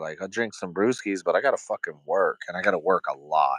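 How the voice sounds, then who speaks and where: Here a man talks at a moderate pace. The sound is dry and close, with no echo. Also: quiet background. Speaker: YouTuber. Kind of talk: casual live-stream chat.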